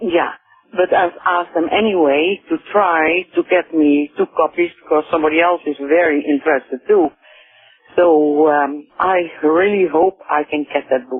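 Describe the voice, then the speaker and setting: Over music in the background, a woman with a Dutch accent speaks at a moderate pace, her pitch fairly low and her intonation fairly even. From Netherlands. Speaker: caller. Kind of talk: phone call to radio show. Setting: phone call. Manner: hesitant.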